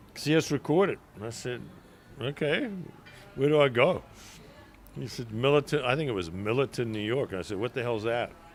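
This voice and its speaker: With music in the background, a man talks at a fairly quick pace and medium pitch. Long pauses come often. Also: ordinary pitch variation. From South Africa, rural then Durban. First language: Zulu. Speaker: restaurant owner. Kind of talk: casual interview chat. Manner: halting, filler-heavy.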